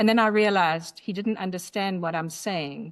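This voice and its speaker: A woman talks with a South African accent at a moderate pace. Her pitch is medium, and the background is quiet. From South Africa, Durban. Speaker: memoir author. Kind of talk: podcast interview.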